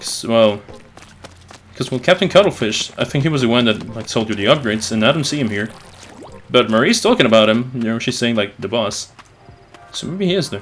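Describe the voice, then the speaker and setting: Lively intonation from a man at medium pitch, with long, frequent pauses and noticeable background noise. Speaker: gaming youtuber. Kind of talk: let's play commentary. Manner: stuttering; halting. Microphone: capture echoes his voice back.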